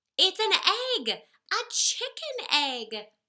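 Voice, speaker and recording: Put-on character voice at an extremely high pitch. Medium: read story. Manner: self-assured.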